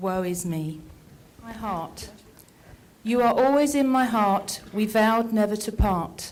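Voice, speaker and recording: A woman speaks at a fairly slow pace with ordinary pitch variation, long, frequent pauses and big swings in loudness. Audible room echo surrounds her voice. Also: fairly high pitch for a woman. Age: 70s. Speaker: poetry reader. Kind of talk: reading aloud own poems.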